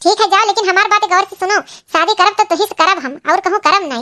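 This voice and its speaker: A woman talks very fast in a squeaky, extremely high-pitched cartoonish character voice, recorded dry and close with no echo. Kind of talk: rustic cartoon comedy drama. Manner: emotional, demanding.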